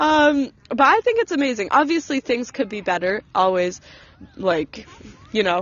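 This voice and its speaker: A woman's high voice in an American accent, with very wide pitch swings, a moderate pace and noticeable background noise. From US, North Carolina. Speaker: university student, street interviewee. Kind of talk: casual chat.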